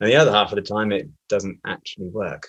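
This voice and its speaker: A man talks with a British accent. His pitch is fairly low. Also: quiet background. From UK. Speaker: systems engineer. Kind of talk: webinar presentation.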